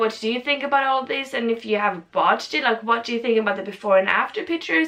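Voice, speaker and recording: A woman talks very fast in a high voice with ordinary pitch variation. Noticeable background noise runs underneath. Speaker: video blogger / reviewer. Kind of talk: casual vlog review. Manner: animated.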